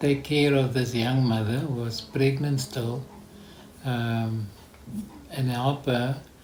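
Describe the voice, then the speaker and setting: A man at a very slow pace and medium pitch, fairly even intonation, audible room echo and noticeable background noise. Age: 70s. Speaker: foster parent. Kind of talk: interview. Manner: halting.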